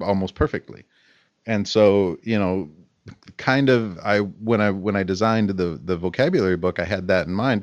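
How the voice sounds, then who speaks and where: A man speaks in a normal speaking voice at a fairly low pitch. His pace is moderate, his pitch variation ordinary, and the background quiet. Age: 30s. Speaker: English teacher and podcast co-host. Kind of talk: casual chat.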